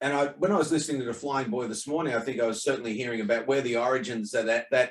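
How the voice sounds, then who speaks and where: Here a man speaks with an Australian accent. His pace is very fast. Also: medium pitch for a man, ordinary pitch variation. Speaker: online talk host. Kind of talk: casual chat. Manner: halting.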